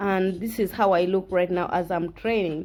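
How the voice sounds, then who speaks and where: A woman speaks at a moderate pace while noticeable background noise carries on around her. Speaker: fitness vlogger. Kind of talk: workout tutorial. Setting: at home. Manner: halting, frequent self-corrections; casual, encouraging.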